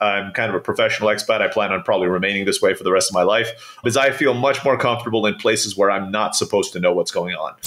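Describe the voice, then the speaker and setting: A man talks at a very fast pace with hardly any pauses. There is noticeable background noise. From Turkey (international upbringing). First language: Turkish. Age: 40s. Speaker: entrepreneur. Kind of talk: casual interview.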